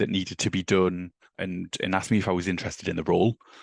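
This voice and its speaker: Speaking at a very fast pace with a very deep, low pitch, a man talks in a northeast English accent, recorded dry and close with no echo against a quiet background. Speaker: office manager. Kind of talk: podcast interview.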